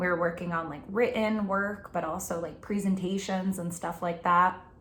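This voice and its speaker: Somewhat breathy, a woman speaks with a New Jersey accent and fairly even intonation. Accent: New Jersey American. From New Jersey, Middlesex County. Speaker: college instructor. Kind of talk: casual class introduction video. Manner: casual, many filler words.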